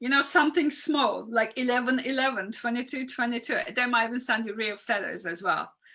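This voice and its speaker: A woman speaks with a non-native accent at a high pitch. Her tone is bright and sharp. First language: not English. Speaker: spiritual coach. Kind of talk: live stream talk. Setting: live video stream. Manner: conversational, reacting to viewer comments.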